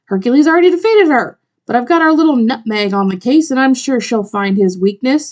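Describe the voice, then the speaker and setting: A woman uses a put-on character voice with a high pitch. She talks at a fairly quick pace. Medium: read story. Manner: sarcastic, ranting, bitter.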